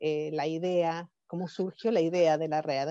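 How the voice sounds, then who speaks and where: In an Argentine accent, a woman speaks at a fairly slow pace with a dark, mellow tone. The sound is dry and close, with no echo. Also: quiet background. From Argentina. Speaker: professor and conference organizer. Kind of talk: conference welcome speech. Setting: webinar. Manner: halting, with fillers and restarts.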